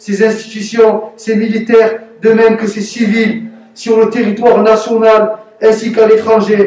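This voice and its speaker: A man with a strong Marseille accent speaks very slowly at a high pitch in a monotone, flat delivery. Noticeable background noise runs under his voice. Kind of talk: read propaganda statement.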